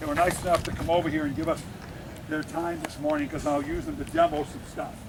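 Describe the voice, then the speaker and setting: There is noticeable background noise while the man talks. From New England (Cape Cod area). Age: 60s. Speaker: football coach. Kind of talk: coaching clinic talk.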